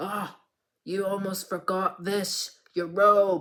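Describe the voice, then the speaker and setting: Using a put-on character voice, a man speaks very slowly at a high pitch with monotone, flat intonation. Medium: read story. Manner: curt.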